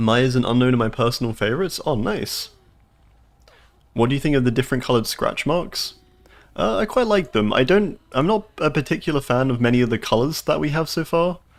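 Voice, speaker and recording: A man with a southern English accent talks at a fairly quick pace in a medium pitch. His intonation is lively and his loudness very even. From southern England. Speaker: video game streamer. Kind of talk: live gameplay commentary. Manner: animated.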